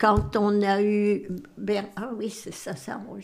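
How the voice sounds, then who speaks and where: A woman speaks at medium pitch. Her pace is very slow. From northern France, Boulogne-sur-Mer. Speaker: great-grandmother, retired farmer. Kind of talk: life-story interview, testimony.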